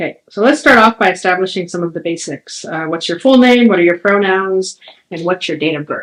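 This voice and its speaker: An unremarkable speaking voice with lively intonation. The pace is fairly quick. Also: woman, medium pitch for a woman. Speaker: history professor, oral history interviewer. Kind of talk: interview questions.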